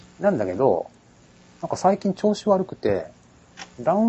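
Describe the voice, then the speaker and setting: A man talks at a fairly quick pace. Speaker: podcast host. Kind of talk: casual chat.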